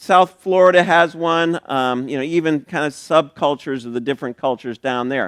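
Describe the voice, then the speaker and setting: With a normal speaking voice, a man talks at a fairly quick pace and fairly high pitch, using lively intonation in a very clean recording with a silent background and a dry, close sound with no echo. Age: 60s. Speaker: pastor. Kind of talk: sermon. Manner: casual, conversational with fillers.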